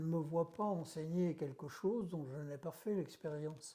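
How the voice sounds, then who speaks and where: His voice has a dark, mellow tone and a fairly high pitch for a man. The man speaks at a fairly slow pace. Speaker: doctor and hypnosis trainer. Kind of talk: interview. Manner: halting.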